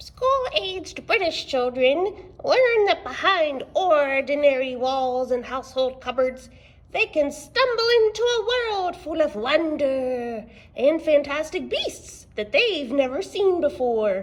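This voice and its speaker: A woman's cartoonish character voice, high in pitch and at a fairly slow pace. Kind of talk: children's library video. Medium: puppet. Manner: hesitant, flustered.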